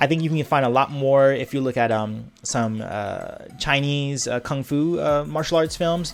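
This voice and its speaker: A man's fairly high voice with an American accent, fairly even intonation and hardly any pauses, at a moderate pace with music in the background. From Los Angeles, California. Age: 20s. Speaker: YouTuber. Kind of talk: casual Q&A monologue.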